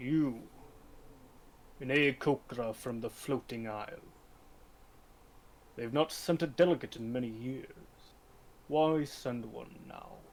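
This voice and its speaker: A man in a put-on character voice at medium pitch, with big swings in loudness and long, frequent pauses. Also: fairly slow pace, ordinary pitch variation. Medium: actual play. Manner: aloof, commanding.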